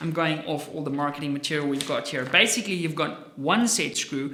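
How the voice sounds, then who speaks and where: Spoken at a fairly quick pace in an Afrikaans accent, the animated voice comes through over noticeable background noise. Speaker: firearms gear reviewer. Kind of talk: product review vlog.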